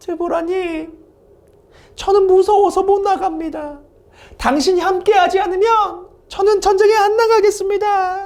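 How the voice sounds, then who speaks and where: A woman uses a put-on character voice with an extremely high pitch and a timid tone. She moves at a moderate pace, with long, frequent pauses. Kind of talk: weak, pleading. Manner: timid, fearful, unmanly.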